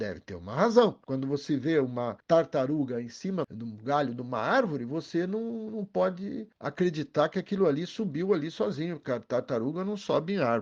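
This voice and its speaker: A man's fairly high voice with very wide pitch swings over a quiet background. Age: 70s. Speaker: energy company executive. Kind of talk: interview explanation. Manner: animated.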